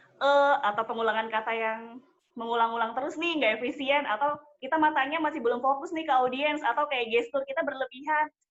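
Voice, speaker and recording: A woman's extremely rapid delivery. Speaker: wedding MC. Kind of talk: interview. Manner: formal.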